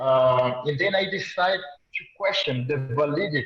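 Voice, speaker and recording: A man with a Brazilian Portuguese accent, fairly high pitch for a man and ordinary pitch variation. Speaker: audience member asking a question. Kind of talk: question from the audience. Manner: halting.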